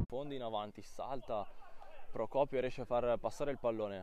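Noticeable background noise sits behind a man at a medium pitch. He talks at a fairly quick pace in an animated tone. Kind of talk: sports commentary. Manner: rapid-fire, breathless play-by-play delivery, clipped phrases; animated, rising excitement on near misses and goals.

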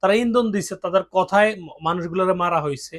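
A man speaks here with a high pitch. His intonation stays fairly even. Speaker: political commentator. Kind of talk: monologue commentary.

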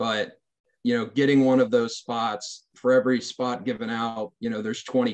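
A man's moderately paced voice with fairly even intonation, against a quiet background. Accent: American. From Maryland. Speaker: Naval Academy graduate, military officer; panelist. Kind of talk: panel discussion. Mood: earnest, advisory, lightly joking. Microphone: video call.

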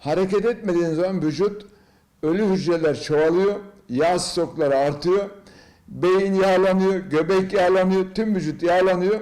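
A man with a high pitch and a dark, mellow tone talks at a fairly slow pace with ordinary pitch variation. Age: 70s. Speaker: business executive and triathlete. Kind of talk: interview answer, health advice.

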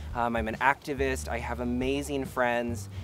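With music in the background, a man speaks at a moderate pace with very wide pitch swings, the sound dry with no echo. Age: 20s. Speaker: filmmaker and activist. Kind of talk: personal testimony. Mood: warm, heartfelt, upbeat. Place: garden.

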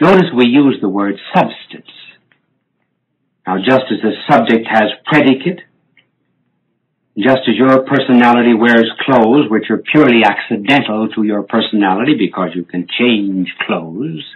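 Light background noise sits behind a man speaking with an American accent at a moderate pace. His intonation is lively, broken by long, frequent pauses. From United States. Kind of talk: religious teaching talk. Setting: restored vinyl recording. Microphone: old recording.

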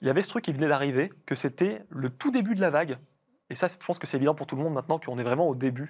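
Against a quiet background, a man speaks at a very fast pace. His pitch is fairly high, with ordinary variation. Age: 30s. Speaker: cybersecurity researcher; guest. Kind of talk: interview. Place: studio.

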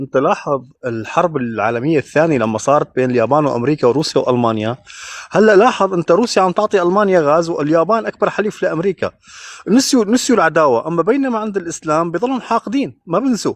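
In a dry sound with no echo, a man with a high pitch talks at a fairly quick pace, his voice moving in very wide pitch swings. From Syria. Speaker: caller in live debate; caller. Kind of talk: heated debate. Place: street. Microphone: video call.

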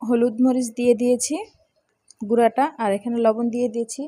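Soft-spoken and high-pitched, a woman talks in a dark, mellow tone with fairly even intonation. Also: dry, close sound with no echo. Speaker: cooking channel host. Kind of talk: cooking tutorial.

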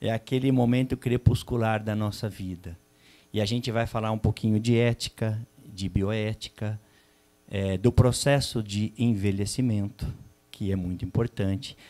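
A man's dark, mellow voice, fairly low in pitch, at a fairly slow pace with fairly even intonation. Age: 50s. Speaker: psychologist and panel moderator; panel moderator. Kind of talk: moderated panel discussion at a seminar. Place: hall. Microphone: handheld.

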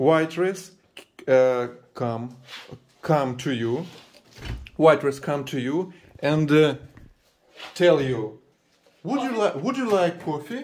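With a Russian accent, a man speaks very slowly in a fairly high pitch, with lively intonation and long, frequent pauses. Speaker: family vlogger. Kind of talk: casual chat. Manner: animated. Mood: warm, grateful, playful. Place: kitchen. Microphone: phone near.

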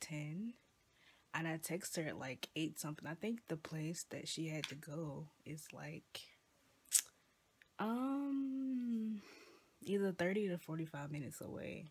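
The speaker talks at a fairly slow pace with long, frequent pauses. The voice is somewhat breathy, with lively intonation. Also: woman. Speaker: vlogger. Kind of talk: casual vlog chat. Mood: relaxed, a bit drowsy. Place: home room. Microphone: phone near.

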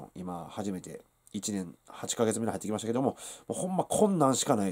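Fairly low pitch from a male speaker. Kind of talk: casual vlog chat. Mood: earnest, a bit weary. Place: home room.

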